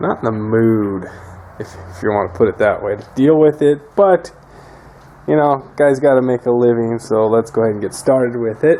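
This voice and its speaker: A man of medium pitch speaks at a moderate pace with lively intonation and big swings in loudness, over noticeable background noise. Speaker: mechanic video maker. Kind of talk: casual tutorial. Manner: unenthusiastic.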